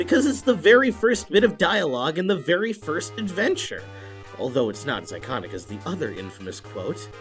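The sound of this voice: A cartoonish character voice at a middle pitch, with very wide pitch swings and a fairly quick pace. Clear music plays in the background.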